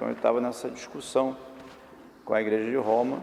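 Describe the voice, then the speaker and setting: A man with a medium-pitched voice talks while noticeable background noise carries on. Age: 60s. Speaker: bishop. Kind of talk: documentary interview.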